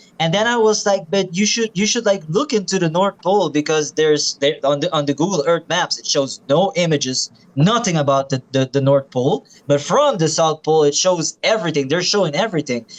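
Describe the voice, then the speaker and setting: A man with a non-native accent at a fairly high pitch, speaking at a fairly quick pace with hardly any pauses and ordinary pitch variation. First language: not English. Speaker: flat earth believer. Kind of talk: casual chat. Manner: halting.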